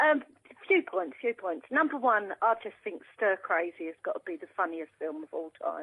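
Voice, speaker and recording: This voice moves at a moderate pace, with very wide pitch swings and big swings in loudness. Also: woman, medium pitch for a woman. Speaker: caller. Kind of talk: radio phone-in. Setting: phone call. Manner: animated.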